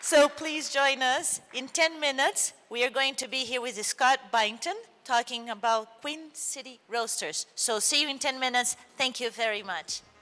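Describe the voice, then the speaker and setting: A woman with a Portuguese accent uses a raised, projected voice at a high pitch, moderate pace and ordinary pitch variation. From Brazil. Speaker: event moderator. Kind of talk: event announcement.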